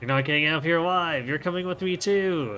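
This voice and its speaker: Very fast talk from a man in a put-on character voice, fairly high pitched, over clear background music. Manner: creepy, menacing.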